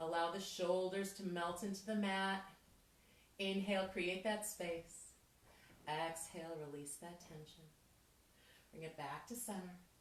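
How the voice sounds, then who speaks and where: Upbeat in tone, a woman speaks at medium pitch and a fairly slow pace, with long, frequent pauses. Her loudness swings widely, and audible room echo is present. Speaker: fitness instructor. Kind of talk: workout instruction. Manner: upbeat, encouraging.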